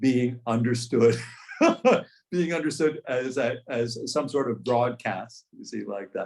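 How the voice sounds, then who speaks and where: Fairly even intonation with an American accent. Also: man. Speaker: macrobiotics teacher. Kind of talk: group discussion. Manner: halting, many repetitions and fillers; clear, careful pronunciation.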